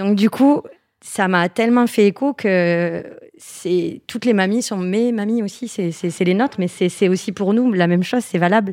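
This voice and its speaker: In a very clean recording with a silent background, a woman with an unremarkable speaking voice talks at a fairly slow pace, medium pitch and ordinary pitch variation. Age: 30s. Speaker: entrepreneur, founder of a knitwear brand. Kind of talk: interview.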